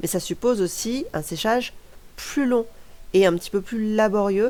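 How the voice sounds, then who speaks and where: A woman speaks in a dark, mellow tone. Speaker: crafter, art school graduate. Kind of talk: craft tutorial voice-over. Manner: casual, chatty.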